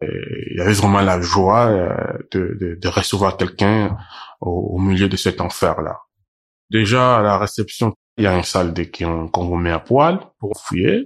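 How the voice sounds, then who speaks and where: Over a quiet background comes a man's very deep, low voice. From Cameroon. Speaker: migrant witness. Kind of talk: testimony. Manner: halting.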